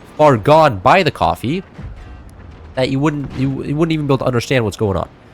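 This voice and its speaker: Over music in the background, a man speaks very fast at a fairly high pitch, his tone animated and his intonation lively. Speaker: gaming streamer. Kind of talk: casual gameplay commentary.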